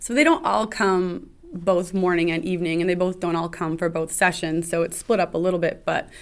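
In a very clean recording with a silent background, an ordinary speaking voice moves along at a fairly quick pace. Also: woman. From Canada, Ottawa. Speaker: recreation director. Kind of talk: casual interview.

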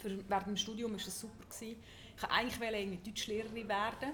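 A woman with a Swiss accent talks at a very fast pace and medium pitch in a monotone, flat intonation. Audible room echo surrounds her voice. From Switzerland. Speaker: journalist and sex educator. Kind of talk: live talk before audience. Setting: hotel lobby with audience.

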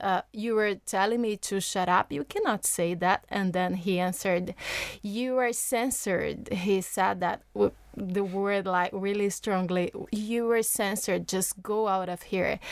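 At a fairly slow pace, a woman with a Portuguese accent speaks at a medium pitch with fairly even intonation. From Brazil. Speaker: journalist. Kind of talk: studio discussion. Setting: studio.

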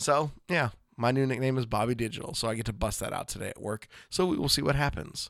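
A man does a put-on character voice that is raspy and medium in pitch. He races along at a very fast pace. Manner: excited.

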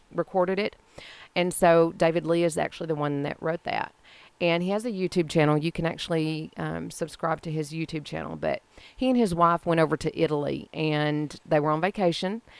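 Speaking fairly quickly with an American accent, a woman uses a fairly low pitch and fairly even intonation. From Texas, Mesquite. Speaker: arts council volunteer and gala organizer. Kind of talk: casual chat.

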